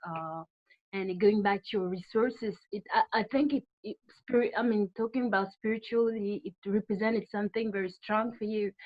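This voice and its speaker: A woman with a French accent, fairly high pitch, ordinary pitch variation and a moderate pace. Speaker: audience member asking question. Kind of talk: question from audience. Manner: halting.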